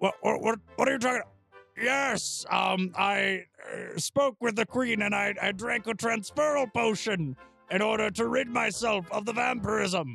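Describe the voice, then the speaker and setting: A man's high-pitched, put-on character voice at a fairly slow pace, with faint music in the background. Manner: polite, faintly posh, strained.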